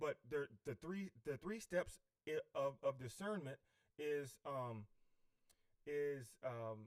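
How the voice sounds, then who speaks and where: A man with a fairly high pitch speaks at a very slow pace. The sound is dry and close with no echo, and his pitch varies in an ordinary way. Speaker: self-help speaker. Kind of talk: livestream talk on self-help. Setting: livestream. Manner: halting, many fillers.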